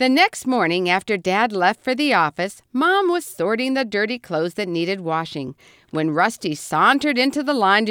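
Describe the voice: Reading aloud, plainly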